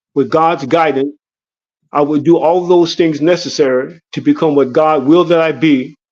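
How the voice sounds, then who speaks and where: In an ordinary speaking voice, a man talks at a moderate pace and fairly high pitch with fairly even intonation. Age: 60s. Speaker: former prisoner, legal helper. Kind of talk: testimony. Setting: online livestream.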